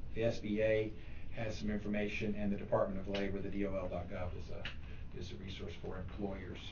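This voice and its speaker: In a room with audible echo, a somewhat breathy man speaks with fairly even intonation. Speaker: tax specialist giving a talk. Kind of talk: presentation to a club. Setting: meeting room, also streamed online. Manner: fast.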